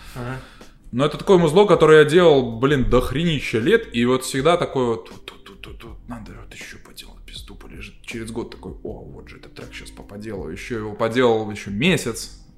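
Here is a man with a normal speaking voice at a medium pitch. He talks fairly quickly with lively intonation. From Belarus, Gomel region. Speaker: electronic musician. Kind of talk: casual chat.

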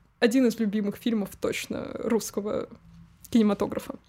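Noticeable background noise around a woman's moderately paced speech. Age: 20s. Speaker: podcast co-host. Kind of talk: casual chat.

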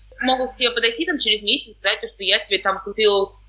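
The speech moves at a fairly quick pace with ordinary pitch variation. Noticeable background noise runs underneath. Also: woman. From Kazakhstan. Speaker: podcast host. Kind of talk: casual chat.

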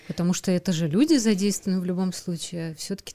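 A woman's somewhat breathy voice, fairly low in pitch, dark and mellow in tone, with ordinary pitch variation. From Moscow, Russia. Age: 30s. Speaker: podcast host. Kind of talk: casual interview.

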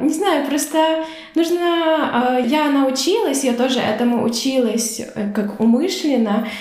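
A high-pitched woman speaks with audible room echo and noticeable background noise. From Ukraine. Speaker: volunteer and youth magazine founder. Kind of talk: casual chat.

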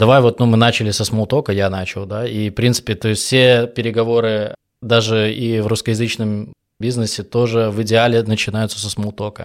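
Monotone, flat intonation and a moderate pace from a man with a medium pitch. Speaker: podcast host interviewing sales professionals; sales professional. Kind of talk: casual interview.

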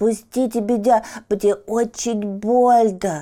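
Putting on a nasal character voice, a woman speaks at a fairly slow pace with a fairly high pitch. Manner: plaintive, pleading.

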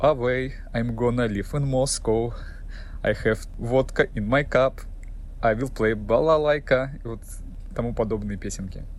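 A man talks at a moderate pace. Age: 30s. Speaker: ship's officer. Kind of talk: prepared monologue.

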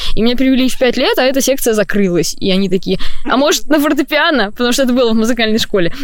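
Against noticeable background noise, a woman with a high pitch talks at a very fast pace, with very even loudness and lively intonation. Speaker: composer and singer-songwriter, conservatory student. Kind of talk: casual interview chat. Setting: in a tent at a campsite.

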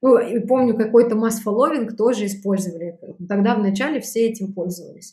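A woman's fairly high, somewhat breathy voice with a dark, mellow tone, ordinary pitch variation and a fairly quick pace. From Belarus. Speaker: sales trainer and startup founder. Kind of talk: interview.

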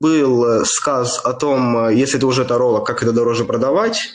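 Room echo is audible around a man's medium-pitched voice. He speaks at a moderate pace with ordinary pitch variation. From Kirov, Russia. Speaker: infobusiness producer. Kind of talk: interview, casual chat.

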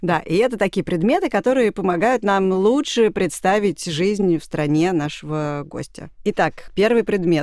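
A woman speaks in a plain, everyday voice at a medium pitch. Her pace is fairly slow, with hardly any pauses. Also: lively intonation. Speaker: podcast host. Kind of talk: casual chat.

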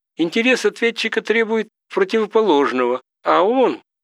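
In a serious tone, a man talks at a fairly slow pace, the sound dry and close with no echo. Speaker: audiobook narrator reading legal text. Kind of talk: literary audiobook reading of a scholarly legal treatise, measured and lecture-like. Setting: studio. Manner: formal, measured, even-paced, didactic; rhetorical questions read with a questioning lift; serious, dry academic tone with little emotion.

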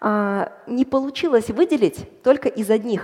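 Amid noticeable background noise, a woman's pitch swings very widely. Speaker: bioinformatician and data scientist. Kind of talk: popular science talk on stage. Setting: stage with audience.

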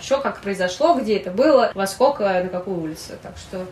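There is noticeable background noise in the recording. A woman speaks with lively intonation. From Russia, Saint Petersburg. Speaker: writer. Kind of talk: interview. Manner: halting.

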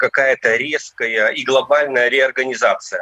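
An ordinary speaking voice from a man, fairly high in pitch with ordinary pitch variation, at a fairly slow pace, dry and close with no echo. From Novgorod region, Russia. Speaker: retired police officer. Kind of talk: interview testimony.

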